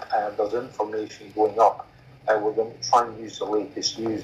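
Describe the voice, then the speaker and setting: A man talks at a fairly quick pace in a Scottish accent. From Scotland. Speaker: common law court representative. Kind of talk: Q&A in online meeting.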